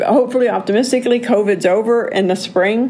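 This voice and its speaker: Over noticeable background noise, a woman speaks with an animated tone. Her pace is moderate, and her pitch varies in an ordinary way. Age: 60s. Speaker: podcast host. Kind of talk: solo monologue podcast.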